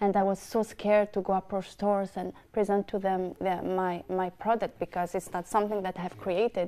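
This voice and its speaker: Very clean, silent-background recording of a woman with a non-native accent, medium pitch, dark mellow tone, monotone flat intonation and a fairly quick pace. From North Africa. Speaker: entrepreneur, argan oil business owner. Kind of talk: TV panel discussion. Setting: TV studio.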